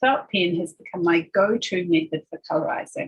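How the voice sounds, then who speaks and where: A somewhat breathy woman with a New Zealand accent, medium pitch, lively intonation and a moderate pace. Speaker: embroidery designer. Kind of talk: craft tutorial voiceover.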